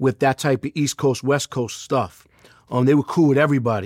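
A man with a New York accent talks at a fairly high pitch on a very clean recording with a silent background. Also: dry, close sound with no echo. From Queens, New York. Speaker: music manager. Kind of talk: interview.

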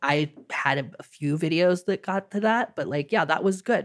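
In a very clean recording with a silent background, a woman uses a normal speaking voice at medium pitch, with lively intonation and a moderate pace. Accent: American. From United States. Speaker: city-builder game content creator. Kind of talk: casual chat.

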